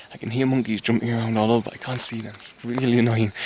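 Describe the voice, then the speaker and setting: A man talks at a fairly quick pace with a medium pitch and a monotone, flat delivery over noticeable background noise. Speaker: spiritual vlogger. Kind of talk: casual vlog musings. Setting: outdoors in rainforest. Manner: relaxed, hesitant with fillers.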